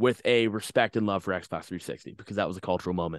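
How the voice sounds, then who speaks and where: Fairly low in pitch, a man speaks with an American accent and fairly even intonation. The background is quiet. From Long Island, New York (Stony Brook, Suffolk County). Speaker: hardcore band vocalist. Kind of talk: casual chat. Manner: halting, many fillers and repeated words.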